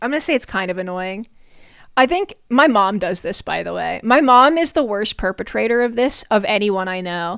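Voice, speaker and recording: Animated in tone, a woman speaks at a medium pitch with lively intonation. Her pace is moderate. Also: very clean recording, silent background. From New York. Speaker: vtuber streamer. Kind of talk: casual live stream commentary.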